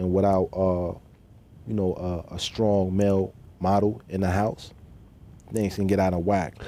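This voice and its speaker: A man talks at a fairly slow pace with long, frequent pauses. His very deep, low voice has a dark, mellow tone and monotone, flat intonation. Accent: New York. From New York City (Queens, Bronx). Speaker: formerly incarcerated man sharing his story. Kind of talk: TV interview.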